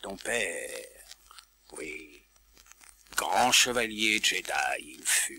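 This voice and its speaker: This man uses a put-on character voice. He talks at a very slow pace with long, frequent pauses. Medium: read story. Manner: inverted word order, cryptic.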